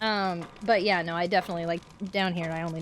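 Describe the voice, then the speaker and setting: Over noticeable background noise, this woman's speech comes very fast. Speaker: video game streamer. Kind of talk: casual gameplay livestream chat. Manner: animated.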